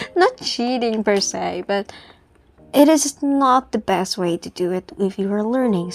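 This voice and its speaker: Speaking in an Indonesian accent, a woman with a fairly high pitch moves at a fairly slow pace with ordinary pitch variation. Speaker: student artist and YouTuber. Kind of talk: casual commentary over a drawing video. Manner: rambling, hesitant with fillers and restarts.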